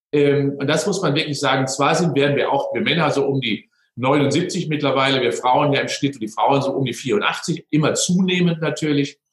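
A man talks in a normal speaking voice at a fairly high pitch and a moderate pace. His intonation is fairly even, with hardly any pauses. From Westphalia, Germany (near Unna). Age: 60s. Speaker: sports scientist. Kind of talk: interview.

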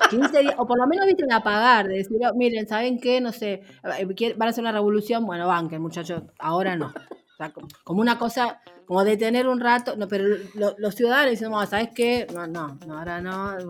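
Woman with a fairly high pitch, ordinary pitch variation and a fairly quick pace. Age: 50s. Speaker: radio journalist. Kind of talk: interview conversation. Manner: halting.

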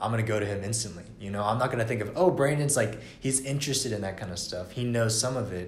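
Very fast speech from a man with an American accent at medium pitch, hardly any pauses, audible room echo and noticeable background noise. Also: ordinary pitch variation. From Atlanta, Georgia, US. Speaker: university student. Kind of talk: casual chat.

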